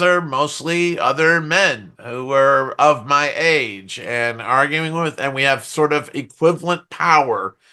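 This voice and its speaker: The voice is loud, with a bright, sharp tone. It goes at a very slow pace with ordinary pitch variation. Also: man. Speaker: software testing expert. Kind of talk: podcast interview. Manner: animated.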